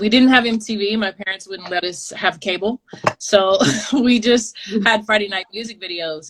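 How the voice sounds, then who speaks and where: Speaking in a normal speaking voice with an American accent, a woman talks at a moderate pace and medium pitch, with ordinary pitch variation and big swings in loudness. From Texas, Dallas area. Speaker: street dancer. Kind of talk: interview. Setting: video call.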